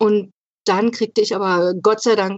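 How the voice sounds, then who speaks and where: A woman speaks at a medium pitch. Her pace is fairly slow, with ordinary pitch variation. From Brandenburg, eastern Germany (Spreewald). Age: 40s. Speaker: patient with congenital heart defect. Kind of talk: personal testimony in an interview.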